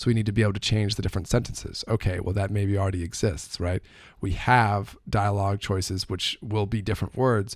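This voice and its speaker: In a very clean recording with a silent background, a man speaks with a fairly low pitch and fairly even intonation. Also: fairly quick pace. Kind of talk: casual explanatory talk to camera. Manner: fast.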